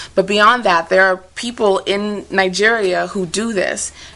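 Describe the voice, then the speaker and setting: A woman at a fairly slow pace with fairly even intonation, over noticeable background noise. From Nigeria. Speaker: spoken word poet. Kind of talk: TV interview answer.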